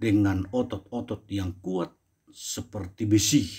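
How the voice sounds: On a very clean recording with a silent background, a man speaks at a slow pace with a slightly mellow tone.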